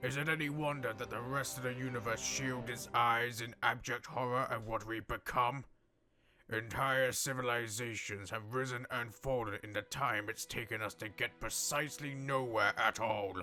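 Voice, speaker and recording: Over faint background music, a man uses a put-on character voice at a medium pitch and a moderate pace. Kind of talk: comic dub. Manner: calm, measured.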